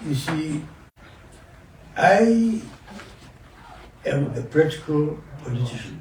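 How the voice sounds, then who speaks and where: Very slow, lively speech from a man with a northern Nigerian accent and a fairly high pitch, broken by long, frequent pauses, with audible room echo and noticeable background noise. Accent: northern Nigerian (Hausa) English. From northern Nigeria, Kano. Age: 80s+. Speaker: elder statesman, veteran politician. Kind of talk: interview.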